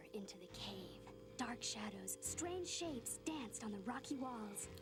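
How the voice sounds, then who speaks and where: A cartoonish character voice, female-sounding, over loud background noise. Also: moderate pace. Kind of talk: bedtime ghost story telling.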